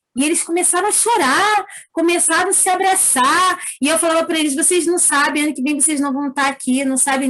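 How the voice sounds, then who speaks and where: At a fairly quick pace, a woman speaks with an extremely high pitch and ordinary pitch variation. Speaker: preschool teacher. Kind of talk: testimony.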